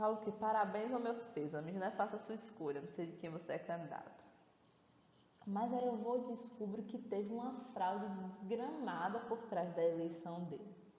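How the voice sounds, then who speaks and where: An animated woman's voice at a fairly high pitch, with ordinary pitch variation and a moderate pace, plus audible room echo and noticeable background noise. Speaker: course teacher. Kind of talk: online lecture.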